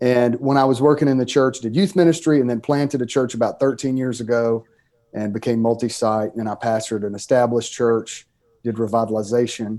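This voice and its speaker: The tone is dark and mellow, the pace fairly quick, and the pitch variation ordinary. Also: man, medium pitch for a man. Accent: Southern US. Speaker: pastor and author. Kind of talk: podcast interview. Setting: podcast.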